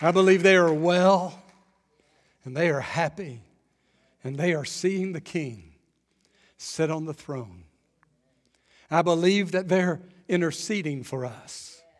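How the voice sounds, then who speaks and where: A man's high-pitched voice at a fairly slow pace, with long, frequent pauses, ordinary pitch variation and a quiet background. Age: 50s. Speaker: pastor. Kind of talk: sermon. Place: church. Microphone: headset.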